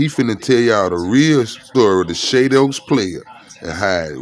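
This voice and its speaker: A man's pitch swings very widely as he speaks. Noticeable background noise runs behind him. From Jackson, Mississippi. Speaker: documentary maker. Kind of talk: casual documentary narration.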